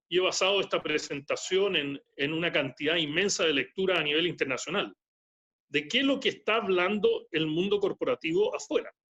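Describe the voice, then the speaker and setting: Speaking at very even loudness, a man has a high-pitched, bright and sharp voice with ordinary pitch variation. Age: 70s. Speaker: economist and speaker. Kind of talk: lecture. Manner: repetitive, halting.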